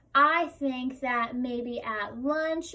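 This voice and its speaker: Raised and projected, a woman's high-pitched voice has a bright, sharp tone and ordinary pitch variation. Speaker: teacher. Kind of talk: tutorial.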